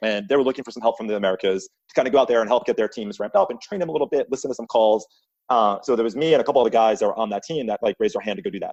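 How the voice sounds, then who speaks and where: In a Long Island accent, a man rattles along at a very fast pace, medium in pitch, with lively intonation. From US Northeast, Long Island, New York. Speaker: sales leader. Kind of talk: podcast interview.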